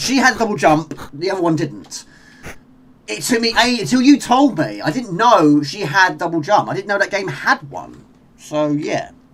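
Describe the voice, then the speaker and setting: A man with a British accent speaks in a high pitch with very wide pitch swings. Noticeable background noise runs behind him. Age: 40s. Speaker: gaming live streamer. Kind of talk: live gameplay commentary. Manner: fast.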